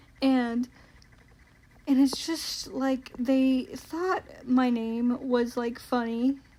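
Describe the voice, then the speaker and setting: Over noticeable background noise, a high-pitched woman with an American accent talks at a very slow pace with fairly even intonation and long, frequent pauses. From US South, Georgia. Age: 20s. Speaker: vtuber. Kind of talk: casual Q and A monologue.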